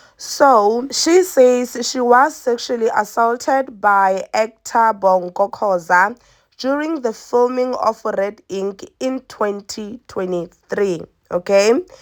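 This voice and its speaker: Lively in intonation, a woman with a fairly high pitch speaks at a very slow pace in a very clean recording with a silent background. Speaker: entertainment news vlogger. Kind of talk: celebrity gossip commentary. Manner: casual, conversational.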